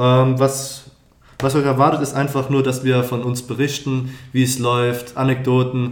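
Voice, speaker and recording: In a room with audible echo, a man speaks fairly slowly at a medium pitch with monotone, flat intonation. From Palatinate, Germany. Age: 20s. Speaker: student podcast co-host, business development. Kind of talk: casual chat.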